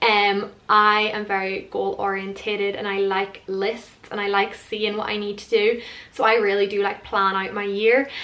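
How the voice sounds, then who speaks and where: Over noticeable background noise, a woman speaks at a medium pitch with monotone, flat intonation. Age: 20s. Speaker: lifestyle vlogger. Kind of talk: casual vlog talk to camera. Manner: fast; casual, many fillers.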